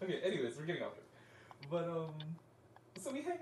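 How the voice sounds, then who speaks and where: The talking moves at a fairly quick pace. There is noticeable background noise and audible room echo. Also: man. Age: 20s. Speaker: podcast host. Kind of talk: casual chat.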